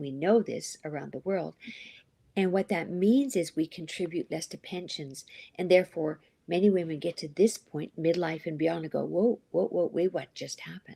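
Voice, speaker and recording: A woman with a fairly low pitch and a dark, mellow tone uses vocal fry, ordinary pitch variation and big swings in loudness, in a dry, close sound with no echo. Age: 60s. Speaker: life coach and author. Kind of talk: interview.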